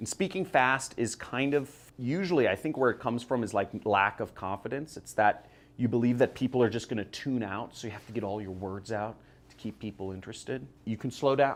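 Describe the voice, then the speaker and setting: A man with a Californian accent speaks at a medium pitch with ordinary pitch variation. His loudness swings widely. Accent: Californian American English. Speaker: internet marketer. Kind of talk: motivational talk to camera. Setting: filmed video with camera operator. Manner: a little fast; casual.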